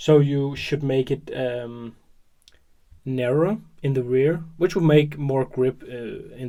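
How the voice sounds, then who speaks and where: Speech comes at a very slow pace, broken by long, frequent pauses. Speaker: hobby tutorial youtuber. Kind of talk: tutorial. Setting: at work. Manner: mumbling; hesitant with fillers.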